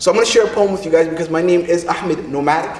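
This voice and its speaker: Against noticeable background noise, a man speaks with a high pitch and an animated tone. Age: 30s. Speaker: poet. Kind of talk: rally speech.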